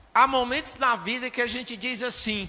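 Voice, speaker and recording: A man's pitch climbs extremely high. He uses a raised, projected voice. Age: 60s. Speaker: pastor. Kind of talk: sermon.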